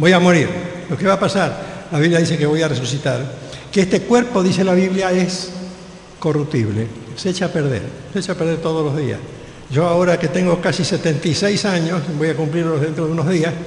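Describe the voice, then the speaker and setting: Ordinary pitch variation at a fairly quick pace, amid noticeable background noise and audible room echo. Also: man, high pitch for a man. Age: 70s. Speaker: pastor. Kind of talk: sermon.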